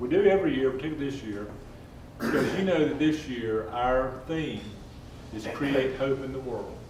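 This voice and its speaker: A Southern US accent at a moderate pace, with ordinary pitch variation, audible room echo and noticeable background noise. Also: man, medium pitch for a man. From North Carolina, North Wilkesboro. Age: 60s. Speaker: civic club leader. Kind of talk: speech.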